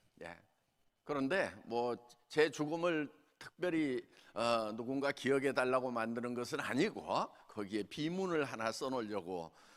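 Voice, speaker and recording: Speaking at a medium pitch, a man talks at a fairly slow pace with lively intonation. He leaves long, frequent pauses. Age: 60s. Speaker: company founder and lay preacher. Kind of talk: sermon. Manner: halting.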